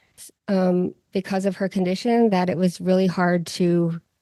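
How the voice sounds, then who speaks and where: A woman's dark, mellow tone at medium pitch, in a dry, close sound with no echo. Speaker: podcast host. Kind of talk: podcast interview.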